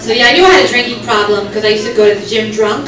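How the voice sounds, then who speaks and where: A woman speaks at a fairly high pitch. Noticeable background noise can be heard behind her. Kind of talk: stand-up comedy set to a live club audience. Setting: comedy club with audience laughter. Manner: fast, sarcastic, crowd-interactive.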